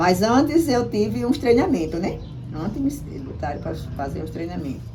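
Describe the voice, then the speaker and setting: Audible room echo surrounds a woman's voice. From Brazil, Paraíba, Potiguara village. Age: 70s. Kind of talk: interview. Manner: halting, with many repetitions.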